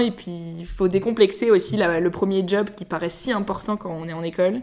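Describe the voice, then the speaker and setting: A woman with a plain, everyday voice speaks at a moderate pace and a medium pitch, with hardly any pauses. Her intonation stays fairly even while her loudness swings widely. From Paris, France. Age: 20s. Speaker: podcast co-founder. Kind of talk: interview.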